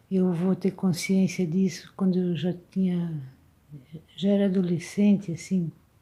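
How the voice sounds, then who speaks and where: A woman's somewhat breathy, dark and mellow voice at medium pitch, spoken very slowly. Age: 70s. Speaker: video blogger. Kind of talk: reflective monologue. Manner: halting.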